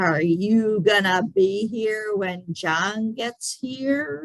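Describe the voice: This is a growling, put-on character voice. It moves at a very slow pace. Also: female-sounding voice, medium pitch for a woman.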